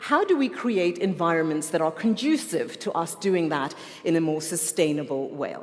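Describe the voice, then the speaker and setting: A woman with a fairly low pitch and lively intonation, over noticeable background noise. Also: moderate pace. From South Africa. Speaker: conference moderator. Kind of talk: formal event hosting. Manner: animated.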